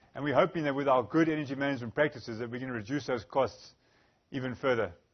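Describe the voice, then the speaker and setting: A man with a Zimbabwean accent, a medium pitch and ordinary pitch variation at a very fast pace. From Zimbabwe, Bulawayo. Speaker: energy specialist, engineer. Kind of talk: conference presentation.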